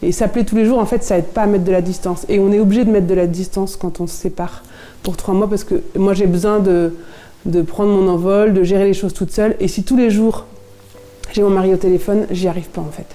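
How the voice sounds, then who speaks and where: The speech comes at a very fast pace in a monotone, flat intonation, with noticeable background noise. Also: woman, medium pitch for a woman. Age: 30s. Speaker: sailor's wife. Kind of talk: interview testimony. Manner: hesitant, many fillers.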